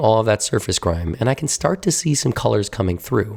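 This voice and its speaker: A somewhat breathy voice moves at a fairly quick pace with very wide pitch swings. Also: man. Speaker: painting conservator. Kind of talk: documentary voice-over narration.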